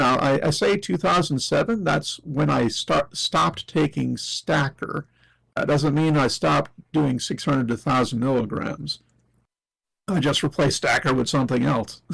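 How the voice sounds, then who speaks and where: Man with fairly high pitch, vocal fry and ordinary pitch variation, very even loudness, very clean recording with a silent background. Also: moderate pace. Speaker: interview guest. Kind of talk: reading aloud.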